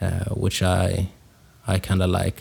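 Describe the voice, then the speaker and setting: Heard in a very clean recording with a silent background, a man with a Swedish accent has a fairly low pitch and a dark, mellow tone. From Sweden. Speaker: podcast host, hip-hop producer and rapper. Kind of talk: solo podcast monologue. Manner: casual with many fillers and hesitations.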